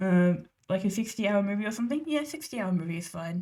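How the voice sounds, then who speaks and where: Her voice is somewhat breathy and dark and mellow in tone, at medium pitch and a fairly quick pace. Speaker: digital artist streamer. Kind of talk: casual livestream chat.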